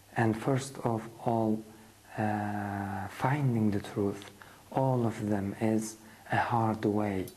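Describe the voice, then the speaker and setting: A man speaks at a fairly low pitch with fairly even intonation. His voice is somewhat breathy, with a dark, mellow tone. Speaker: religious lecturer. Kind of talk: lecture. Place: studio. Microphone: lapel.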